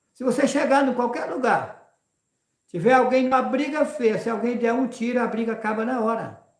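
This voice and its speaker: This man's voice sits extremely high in pitch. His pitch varies in an ordinary way. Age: 60s. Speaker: religious preacher and rancher. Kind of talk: live religious talk.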